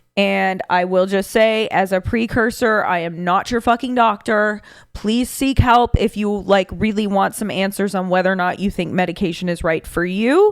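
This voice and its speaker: A woman with a medium-pitched voice talks at a moderate pace, with hardly any pauses. The recording is very clean, with a silent background. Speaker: podcast host. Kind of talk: solo podcast monologue. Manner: energetic.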